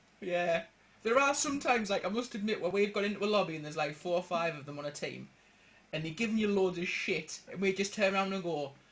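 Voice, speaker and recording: Over noticeable background noise, a man with a strong Geordie accent talks at a very fast pace in a high voice with ordinary pitch variation. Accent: strong northeastern Geordie. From northeast England. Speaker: gaming podcast host. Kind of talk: casual chat.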